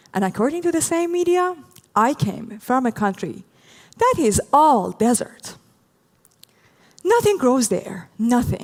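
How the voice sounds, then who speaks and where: A woman talks at a fairly slow pace with long, frequent pauses and very even loudness. Her pitch is high and swings very widely. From Iran. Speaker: doctoral researcher. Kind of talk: public talk. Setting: stage with audience.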